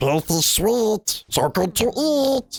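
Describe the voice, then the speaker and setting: A man's put-on character voice with a high pitch. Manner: hissing.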